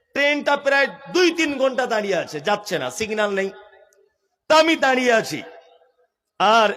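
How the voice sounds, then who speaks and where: Extremely high-pitched for a man, this animated speaker has a bright, sharp tone. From West Bengal, India. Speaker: Islamic preacher. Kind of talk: sermon.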